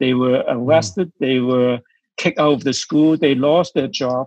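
A man with a Chinese accent. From China. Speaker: missionary church leader. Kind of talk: interview.

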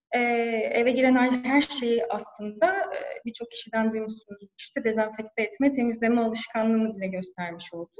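Barely pausing, a woman with a fairly high pitch talks with ordinary pitch variation. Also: moderate pace. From Turkey, Antalya. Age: 30s. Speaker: e-commerce manager. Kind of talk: interview. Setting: office, remote call. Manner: hesitant fillers.

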